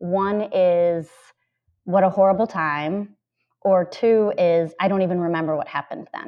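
A woman with an American accent talks at a fairly slow pace in a normal speaking voice. Her pitch is medium and her intonation fairly even. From Minnesota, US Midwest. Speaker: middle school administrator and math teacher. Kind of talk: interview.

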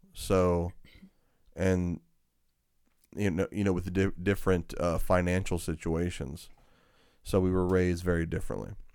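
A man with a Georgia accent speaks at a moderate pace with a very deep, low pitch and monotone, flat intonation. He leaves long, frequent pauses, and the recording is very clean with a silent background. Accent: Southern US, country Georgia. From US South, Georgia. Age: 40s. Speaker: podcast host, sharing his life story. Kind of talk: casual chat, testimony.

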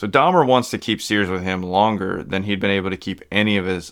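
A man's ordinary speaking voice, fairly low in pitch, with fairly even intonation at a moderate pace. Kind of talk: true-crime narration. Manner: measured, grave, storytelling delivery; clear, steady, informative.

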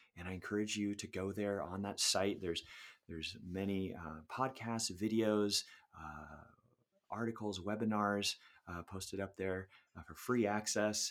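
Speaking with an American accent, a man keeps a moderate pace and fairly even intonation. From California, Sacramento. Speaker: music education professor and band director. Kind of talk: interview.

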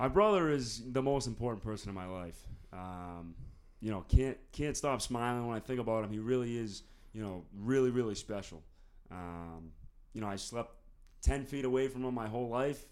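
A man's medium-pitched voice with an American accent, ordinary pitch variation, big swings in loudness and a moderate pace. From US Northeast (North Andover, Massachusetts). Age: 20s. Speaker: college student. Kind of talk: casual interview.

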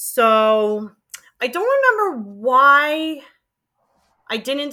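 A woman's bright, sharp voice with a New York accent, on a very clean recording against a silent background. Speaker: former college radio DJ. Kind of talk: interview.

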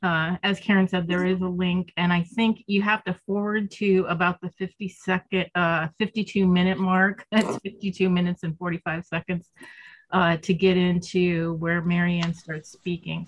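A somewhat breathy voice with an American accent speaks at a fairly slow pace in a monotone, flat intonation. The sound is dry and close with no echo. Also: woman, fairly low pitch for a woman. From Northwestern Pennsylvania. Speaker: peace advocacy volunteer presenter. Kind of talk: group call presentation. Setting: video call.

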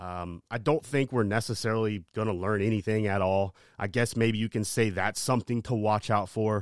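A man with an unremarkable speaking voice, fairly low pitch, ordinary pitch variation and a moderate pace, in a dry, close sound with no echo on a very clean recording with a silent background. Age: 30s. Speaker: sports podcaster. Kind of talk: casual monologue. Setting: home studio.

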